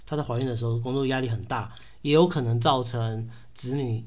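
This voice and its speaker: A man talks at a fairly quick pace. Audible room echo follows his voice. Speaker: podcast co-host, expressive arts therapy researcher. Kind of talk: casual chat.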